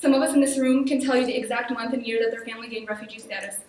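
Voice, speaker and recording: Amid noticeable background noise and audible room echo, a woman with a high, shaky voice speaks very fast with fairly even intonation. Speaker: student activist. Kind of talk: public hearing speech.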